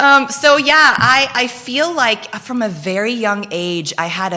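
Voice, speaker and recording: A woman's animated voice at a fairly slow pace, with very wide pitch swings and noticeable background noise. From Philippines, Belgian mother. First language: Dutch (Flemish). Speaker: guest, entrepreneur. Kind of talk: casual interview chat. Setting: studio, live show.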